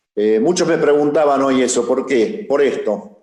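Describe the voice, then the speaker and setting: The man's voice is fairly high in pitch, and his intonation is lively. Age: 60s. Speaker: civil engineer, former public works minister. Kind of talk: panel talk.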